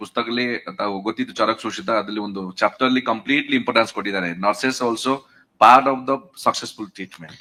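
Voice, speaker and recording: A man talks at a medium pitch with ordinary pitch variation. His tone is bright and sharp. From Odisha, India (Puri). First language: Odia (speaking Kannada). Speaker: nursing educator. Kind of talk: audience question. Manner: halting.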